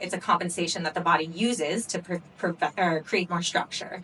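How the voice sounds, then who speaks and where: Her pitch moves with ordinary variation. This woman keeps a moderate pace. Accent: American. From US Pacific Northwest, Seattle. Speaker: pelvic floor physical therapist. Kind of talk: workshop lecture. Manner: casual, conversational.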